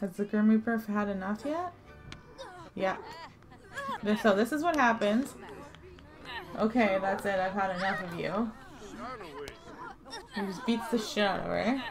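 Against crowd noise in the background, a woman talks with ordinary pitch variation and long, frequent pauses. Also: medium pitch for a woman, moderate pace. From Canada. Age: 20s. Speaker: hairdresser and esthetician. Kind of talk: casual gameplay commentary.

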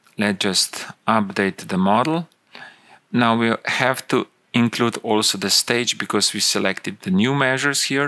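The delivery is fairly slow, with a bright, sharp tone and ordinary pitch variation. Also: man, fairly low pitch for a man.

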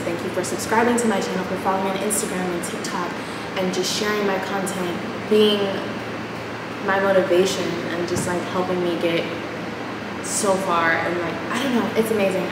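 A woman talks at a fairly quick pace over loud background noise, with audible room echo. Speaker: vlogger. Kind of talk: casual vlog chat. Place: empty room. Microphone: camera far.

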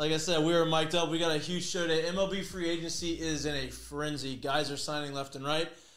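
Audible room echo surrounds a man who speaks at a fairly quick pace with hardly any pauses. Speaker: show host. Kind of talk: casual sports show chat. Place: studio.

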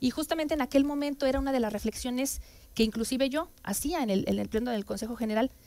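A woman speaks at a fairly quick pace in a high voice with ordinary pitch variation. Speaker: council guest. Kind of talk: interview answer. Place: studio. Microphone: headset.

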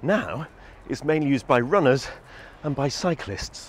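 A man speaks in a dry sound with no echo. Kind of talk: casual guided walk vlog. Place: waterside. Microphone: lapel.

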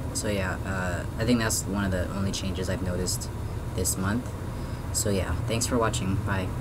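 Over loud background noise, a man keeps to a moderate pace. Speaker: vlogger. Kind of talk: personal video diary update. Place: home room. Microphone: webcam.

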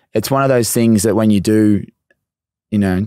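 A man's fairly low, dark, mellow voice with an Australian accent, fairly even intonation and a moderate pace, dry with no echo against a quiet background. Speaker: podcast host. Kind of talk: casual interview. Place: studio. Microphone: studio mic.

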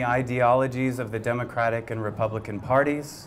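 Light background noise sits behind a man talking at a moderate pace. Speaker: candidate. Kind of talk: campaign speech. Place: bar. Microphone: handheld.

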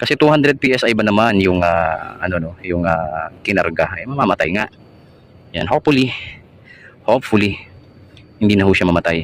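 A man's fairly low pitch with lively intonation at a moderate pace, long, frequent pauses and noticeable background noise. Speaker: aircon technician vlogger. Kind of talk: on-site repair tutorial. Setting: outdoors at a house, hot sun. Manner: casual, with many fillers.

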